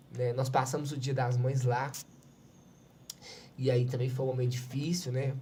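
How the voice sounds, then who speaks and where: With audible room echo, a somewhat breathy, dark, mellow voice speaks at a moderate pace in a monotone, flat intonation with long, frequent pauses. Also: man, medium pitch for a man. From Minas Gerais, Brazil. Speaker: civil defense coordinator. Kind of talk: podcast interview, personal testimony.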